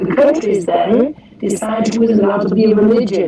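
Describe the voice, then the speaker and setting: A woman's voice with ordinary pitch variation, noticeable background noise and audible room echo. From Germany. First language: German. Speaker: former Jehovah's Witness participant. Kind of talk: group discussion. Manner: halting.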